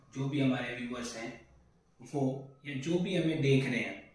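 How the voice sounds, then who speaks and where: A man speaks with fairly even intonation at a fairly high pitch. Noticeable background noise and audible room echo surround him. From India, Delhi (born in Sitamarhi, Bihar). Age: 20s. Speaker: accounts manager introducing himself on his channel. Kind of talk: self-introduction monologue.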